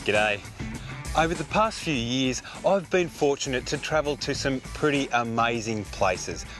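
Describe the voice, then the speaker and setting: Music plays in the background as a man with an Australian accent talks at a moderate pace. His pitch is medium and his intonation lively. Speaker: TV presenter. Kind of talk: product promotion read.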